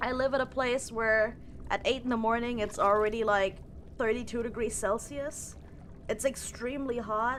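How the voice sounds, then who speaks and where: A woman speaks with a German accent. Her pitch is fairly high. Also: moderate pace, very even loudness. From Germany. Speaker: streamer. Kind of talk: casual live stream chat. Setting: live stream. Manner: halting, repeats words.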